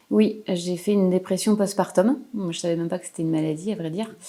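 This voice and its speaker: A woman speaks with fairly even intonation and a dark, mellow tone in a very clean recording against a silent background. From Paris region, France. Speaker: painter. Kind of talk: interview. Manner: hesitant.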